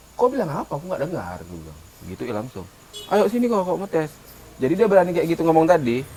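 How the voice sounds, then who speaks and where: A man with a Medan accent, fairly high in pitch, at a very fast pace with very wide pitch swings, over noticeable background noise. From North Sumatra, Medan area. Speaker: podcast co-host. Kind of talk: casual chat.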